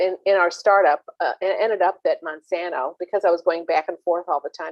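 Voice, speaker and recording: Speaking at a fairly quick pace, a woman with an American accent has a plain, everyday voice at a medium pitch. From US Midwest, St. Louis. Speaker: venture capital investor. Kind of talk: panel talk.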